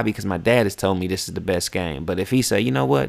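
A man talks with vocal fry. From West Virginia. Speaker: podcast host and rapper. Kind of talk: casual monologue. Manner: animated.

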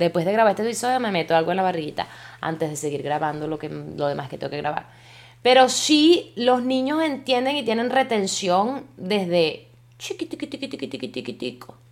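A woman's medium-pitched voice with very wide pitch swings sounds out on a very clean recording with a silent background. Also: moderate pace. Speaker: podcaster. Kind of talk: casual monologue. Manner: animated.

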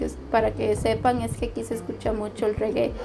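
A woman is heard with noticeable background noise. Audible room echo surrounds her voice. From Honduras. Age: 20s. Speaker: journalism student. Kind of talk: casual chat.

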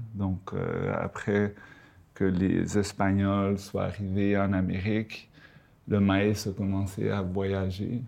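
Very slow and monotone, a man talks at a fairly low pitch with a dark, mellow tone and flat intonation. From Panama and Quebec. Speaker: storyteller. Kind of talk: casual chat.

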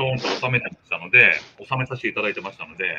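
A man is talking here. His delivery comes at a fairly quick pace. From Fukushima, Minamisoma (Japan, Tohoku). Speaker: miso and soy sauce maker, business owner. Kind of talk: casual interview.

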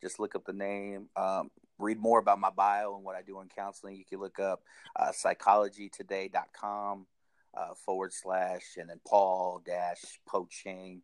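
A man speaks in a flat monotone, his loudness swinging widely, recorded dry and close with no echo. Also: fairly low pitch for a man, fairly slow pace. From Washington State, Tacoma area; teen years in Hawaii. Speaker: minister and licensed counselor. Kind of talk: casual interview. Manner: casual, filler-heavy.

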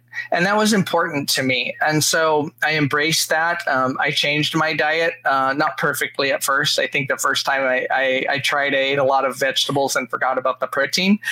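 Over noticeable background noise, a man with a fairly high pitch speaks at a moderate pace with hardly any pauses, fairly even intonation and very even loudness. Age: 50s. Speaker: vegan food industry executive. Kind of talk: interview. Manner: hesitant, many fillers.

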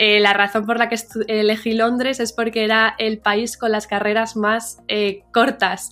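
This woman talks fairly slowly in a fairly high voice. Her intonation stays monotone and flat. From Madrid, Spain and New York. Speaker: media founder. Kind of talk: interview. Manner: halting, with many fillers.

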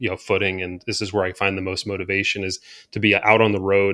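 A man speaks with a fairly low pitch. His tone is bright and sharp. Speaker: e-bike company founder. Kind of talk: interview.

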